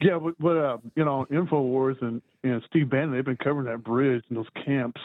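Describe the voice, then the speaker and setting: A man with an unremarkable speaking voice talks at a moderate pace, his medium pitch held in fairly even intonation. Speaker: caller. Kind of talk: call-in talk. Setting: phone call.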